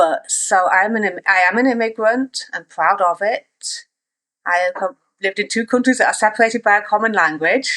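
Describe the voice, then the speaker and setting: With a slight East Midlands accent, a woman speaks at a fairly high pitch and a fairly quick pace. Her tone is bright and sharp, her pitch variation ordinary, and the sound dry and close with no echo. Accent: English East Midlands, toned down. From England, East Midlands (Nottingham). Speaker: author. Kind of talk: casual interview.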